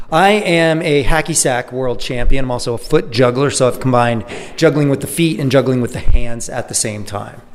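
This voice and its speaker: A man's medium-pitched voice at a fairly quick pace with hardly any pauses and ordinary pitch variation, over noticeable background noise. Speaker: performer. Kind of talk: casual interview.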